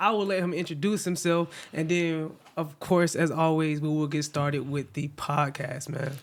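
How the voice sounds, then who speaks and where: A man with a plain, everyday voice, fairly high in pitch, at a moderate pace with fairly even intonation and hardly any pauses. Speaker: podcast host. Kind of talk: casual podcast talk.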